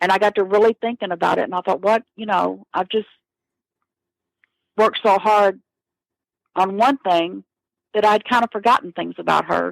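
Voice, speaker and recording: In an American accent, a woman at medium pitch talks at a moderate pace with long, frequent pauses, the sound dry and close with no echo. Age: 60s. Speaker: murder victim's sister. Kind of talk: interview.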